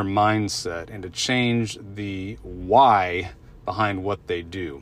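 Delivery is very slow. The pitch moves in an ordinary way. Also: man. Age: 40s. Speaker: health coach and podcast host. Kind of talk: solo podcast monologue. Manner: casual, many fillers and repetitions.

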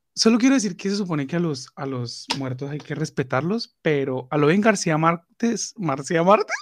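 With a plain, everyday voice, a man speaks at a fairly high pitch with lively intonation and hardly any pauses. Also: moderate pace. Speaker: podcast co-host. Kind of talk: casual chat.

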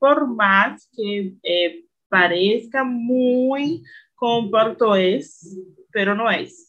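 With a Brazilian accent, a woman talks with ordinary pitch variation. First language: Portuguese (speaking Spanish). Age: 20s. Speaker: language learner. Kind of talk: casual chat.

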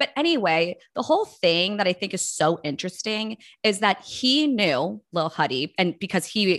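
In a dry, close recording with no echo and a quiet background, a woman uses a normal speaking voice at a medium pitch and a moderate pace. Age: 30s. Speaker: podcast co-host and lifestyle blogger. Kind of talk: casual chat.

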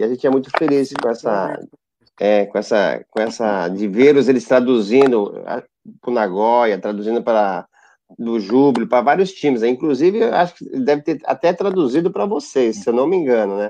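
A man talks at a moderate pace in a medium-pitched voice with a dark, mellow tone. His intonation is lively. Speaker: futsal coach. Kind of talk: casual chat.

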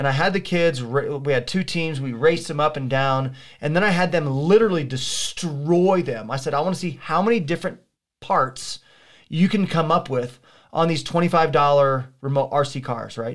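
Pitch moves in an ordinary way at a moderate pace. The recording is very clean, with a silent background. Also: man, fairly high pitch for a man. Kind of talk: casual chat. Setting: studio. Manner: loud.

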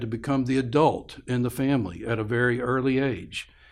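This man has a normal speaking voice, medium in pitch, with fairly even intonation and a moderate pace. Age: 60s. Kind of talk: interview conversation. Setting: studio.

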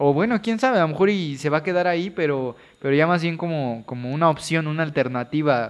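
With an ordinary speaking voice, a man talks fairly quickly at a fairly high pitch, using lively intonation. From Veracruz, Mexico. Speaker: podcast co-host, medical student. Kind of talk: casual chat.

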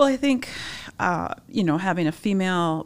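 Moderately paced speech from a woman with an American accent, in a very clean recording against a silent background. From Upper Peninsula of Michigan. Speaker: magazine publisher. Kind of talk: interview.

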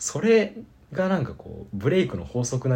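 A man with a dark, mellow tone and vocal fry talks at a fairly quick pace. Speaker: college radio podcast host. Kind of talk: casual chat.

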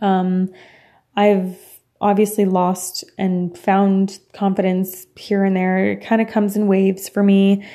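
A woman speaks very slowly in a Franco-Ontarian accent at a medium pitch. Her tone is dark and mellow, her intonation monotone and flat. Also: very clean recording, silent background. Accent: Franco-Ontarian Canadian English. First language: French. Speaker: podcast host. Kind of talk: personal monologue. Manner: casual with frequent fillers and laughs.

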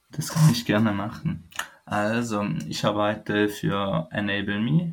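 There is noticeable background noise behind this man. His voice is fairly low, with lively intonation. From Switzerland. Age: 20s. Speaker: foundation employee living with chronic illness. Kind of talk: interview, personal story. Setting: remote call.

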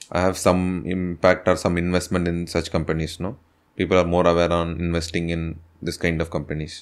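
The recording is very clean, with a silent background. A man speaks in a very deep, low voice with monotone, flat intonation. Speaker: podcast host. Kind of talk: interview; scripted introduction.

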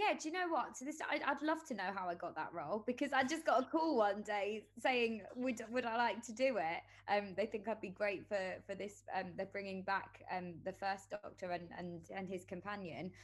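A woman speaks in a London accent. Her pitch is medium and her pace moderate. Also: lively intonation. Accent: London English, can do northern accents. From London, England. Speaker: actress. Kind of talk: casual interview chat.

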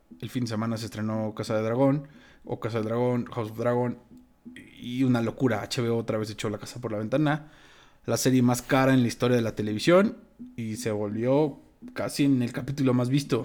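Music plays in the background as the speaker, with a Mexican accent, talks at a fairly quick pace and with fairly even intonation. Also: man, medium pitch for a man. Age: 30s. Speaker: podcast co-host. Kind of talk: casual chat.

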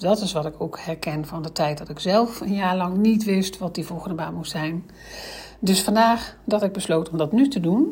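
A woman speaks in a normal speaking voice at a medium pitch and moderate pace. Her pitch variation is ordinary, with big swings in loudness. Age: 50s. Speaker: career coach. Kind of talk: solo podcast explainer.

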